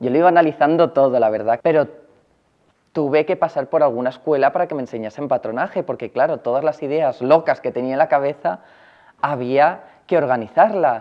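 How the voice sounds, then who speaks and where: A man's fairly high pitch at a fairly quick pace, against a quiet background. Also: ordinary pitch variation. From Valencia region, Spain. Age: 20s. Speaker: fashion designer. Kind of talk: personal interview testimony. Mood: cheerful, smiling. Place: workshop.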